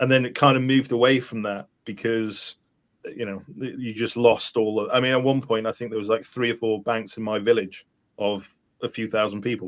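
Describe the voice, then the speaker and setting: A man's medium-pitched voice with a Welsh accent, fairly quick in pace, with fairly even intonation. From rural Wales. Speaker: podcast host. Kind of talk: casual chat.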